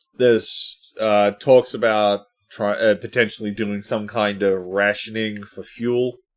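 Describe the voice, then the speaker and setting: A man speaks fairly slowly at a fairly low pitch with an Australian accent. His intonation stays flat and monotone. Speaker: podcast host. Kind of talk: casual chat.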